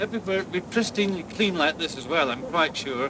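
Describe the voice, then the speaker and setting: With noticeable background noise behind it, a raised, projected voice carries lively intonation. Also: man. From Scotland. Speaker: tourism board director. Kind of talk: public speech at ceremony.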